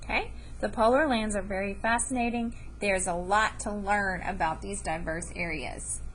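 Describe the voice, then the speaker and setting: Audible room echo surrounds a woman who talks at a moderate pace. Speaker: elementary school teacher. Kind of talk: lesson to students.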